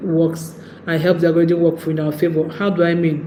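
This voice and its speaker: In a Nigerian accent, a woman speaks at a fairly low pitch. Room echo is audible. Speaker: YouTube creator. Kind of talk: livestream talk.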